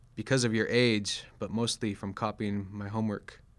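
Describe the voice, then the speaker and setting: With a fairly low pitch, a man speaks in a monotone, flat way at a moderate pace. The recording is very clean, with a silent background. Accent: American. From US West Coast (Sacramento, California). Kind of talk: poetry reading.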